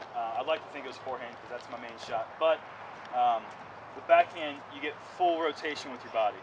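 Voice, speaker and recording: A man with an American accent talks at a fairly quick pace in a fairly high pitch, with noticeable background noise. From US South, North Carolina. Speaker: disc golf pro. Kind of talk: outdoor clinic demonstration.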